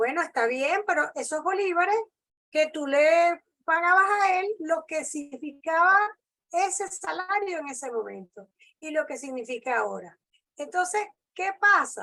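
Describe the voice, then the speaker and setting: This woman's raised, projected voice has an extremely high pitch and a bright, sharp tone. She talks at a fairly slow pace with lively intonation. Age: 60s. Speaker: labor lawyer. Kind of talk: lecture; Q&A discussion. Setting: video call.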